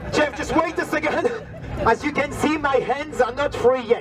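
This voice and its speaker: With a strong French accent, a man speaks at a moderate pace amid noticeable background noise. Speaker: street performer juggler. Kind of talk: live street show patter to audience. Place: street.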